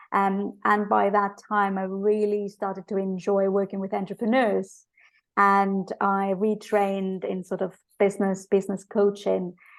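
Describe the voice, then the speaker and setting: Speaking with an Estonian accent, a woman with a medium pitch talks at a fairly slow pace in a monotone, flat way. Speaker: business coach. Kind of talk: podcast interview. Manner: halting, many fillers.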